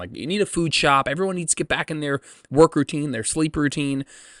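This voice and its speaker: A loud man's voice, fairly high in pitch and bright and sharp in tone, dry and close with no echo on a very clean recording with a silent background. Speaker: fitness coach and podcast host. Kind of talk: casual solo podcast. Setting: outdoors.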